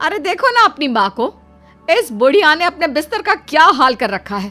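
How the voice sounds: In a put-on character voice, a woman speaks at a high pitch with a bright, sharp tone and big pitch swings. Her pace is moderate, with faint music in the background.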